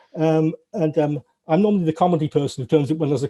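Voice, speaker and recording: Very fast and somewhat breathy, a man speaks in a dark, mellow tone with ordinary pitch variation, the sound dry and close with no echo. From northern England. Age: 50s. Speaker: retired games programmer and TV worker. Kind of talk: interview. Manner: halting, many fillers and repetitions.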